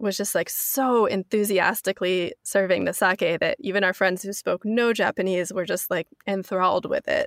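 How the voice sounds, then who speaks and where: With a West Coast US accent, a woman talks at a moderate pace and medium pitch, her intonation fairly even, in a very clean recording with a silent background and a dry, close sound with no echo. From US Pacific Northwest (North Bend, near Seattle). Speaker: author. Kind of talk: interview.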